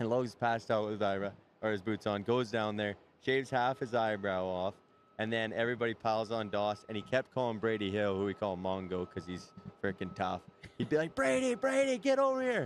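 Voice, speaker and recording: A man with a Canadian accent has an ordinary speaking voice, fairly low in pitch with ordinary pitch variation, at a fairly quick pace. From Canada. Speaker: rodeo cowboy. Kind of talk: casual interview chat. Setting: live show at a stadium.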